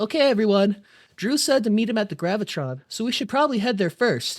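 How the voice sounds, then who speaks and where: Someone performs a put-on character voice at a fairly quick pace on a very clean recording with a silent background. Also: female-sounding voice, fairly high pitch for a woman. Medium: read story. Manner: bubbly, chatty.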